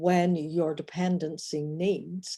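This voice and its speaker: A woman with an Irish accent, very slow, with a dark, mellow tone and fairly even intonation. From Northern Ireland. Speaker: relationship coach. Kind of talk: personal vlog monologue. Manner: halting.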